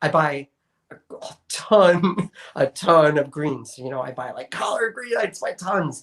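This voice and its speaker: A man with an American accent speaks in a plain, everyday voice, with fairly high pitch and ordinary pitch variation. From New York. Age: 40s. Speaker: sustainability advocate. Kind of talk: interview. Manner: casual, conversational.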